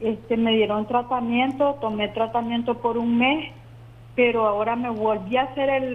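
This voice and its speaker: This woman has a fairly high pitch and monotone, flat intonation. Her pace is moderate. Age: 60s. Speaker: caller. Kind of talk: phone-in question. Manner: halting.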